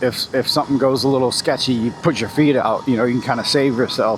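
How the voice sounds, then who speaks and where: There is noticeable background noise behind this voice. A man speaks at a medium pitch. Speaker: motovlogger. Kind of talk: casual chat. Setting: outdoors. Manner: shaky when seated on bumps.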